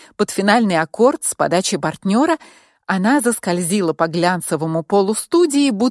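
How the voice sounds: Lively intonation in a natural reading voice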